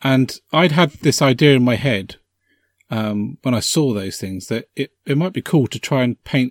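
On a very clean recording with a silent background and a dry, close sound without echo, a man with a British accent speaks at a moderate pace in a medium pitch. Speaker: podcast host. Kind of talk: casual chat.

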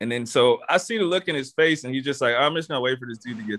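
With an American accent, the speaker talks at a very fast pace with lively intonation. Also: man. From Texas. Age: 20s. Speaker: podcast host. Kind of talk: casual chat.

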